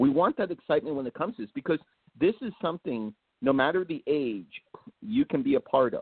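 A man with an American accent speaks at a very fast pace in a high voice. His pitch swings very widely. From New Jersey. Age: 40s. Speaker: horror writer and filmmaker. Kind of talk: casual chat.

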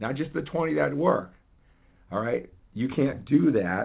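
The speaker sounds energetic, using lively intonation at a fairly slow pace. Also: man. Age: 50s. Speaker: fitness coach and podcast host. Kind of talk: motivational monologue.

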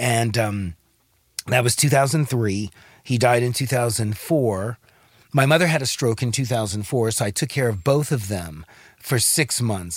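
On a very clean recording with a silent background, a man with an American accent talks at a medium pitch in a somewhat breathy voice. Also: ordinary pitch variation, moderate pace. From Los Angeles. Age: 60s. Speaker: actor. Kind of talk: casual chat.

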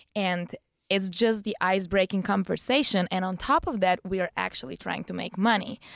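A woman with a Bulgarian accent, medium pitch, ordinary pitch variation and a moderate pace, in a very clean recording with a silent background and a dry, close sound with no echo. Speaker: stripper and bartender. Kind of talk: casual chat. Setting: studio.

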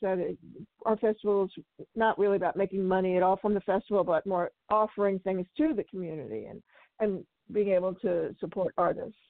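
A woman with an unremarkable speaking voice, medium in pitch, at a moderate pace and with fairly even intonation. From Oakland, California. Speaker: sex worker rights activist and film festival organizer. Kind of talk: radio interview.

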